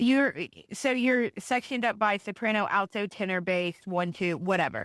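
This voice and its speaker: In a dry, close sound with no echo and a very clean recording with a silent background, a woman with a Tennessee accent talks at medium pitch and a moderate pace, with ordinary pitch variation and very even loudness. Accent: Southern US (Tennessee). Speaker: podcast guest, host's sister. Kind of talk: casual chat.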